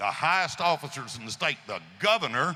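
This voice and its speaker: A man with a West Tennessee accent, bright, sharp tone and moderate pace. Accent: Southern US (West Tennessee). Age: 70s. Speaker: gun rights advocate. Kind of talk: speech to audience. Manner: animated.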